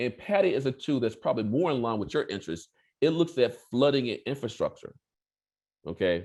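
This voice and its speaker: Against a quiet background, a man with an American accent speaks at a fairly quick pace, his pitch swinging very widely. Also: medium pitch for a man. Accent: regional US. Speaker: professor. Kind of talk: lecture. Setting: video call. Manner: fast, repetitive with restarts.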